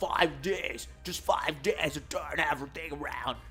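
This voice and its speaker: A growling put-on character voice at a moderate pace, with clear music in the background. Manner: determined.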